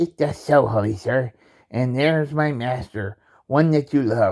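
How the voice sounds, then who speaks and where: This is a put-on character voice. It goes along at a moderate pace. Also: man, medium pitch for a man. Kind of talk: Shakespearean stage reading. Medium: stage play. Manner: plain, hesitant reading.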